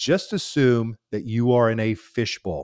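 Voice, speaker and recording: On a very clean recording with a silent background, a man with a normal speaking voice talks at medium pitch and a fairly slow pace. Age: 50s. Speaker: baseball broadcaster. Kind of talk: casual interview chat.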